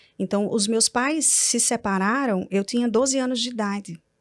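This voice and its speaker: This woman's voice sits fairly high and moves at a moderate speed. Her intonation holds fairly even. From Brazil, Natal (Rio Grande do Norte). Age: 40s. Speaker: entrepreneur and publisher. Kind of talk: testimony. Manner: calm-sounding.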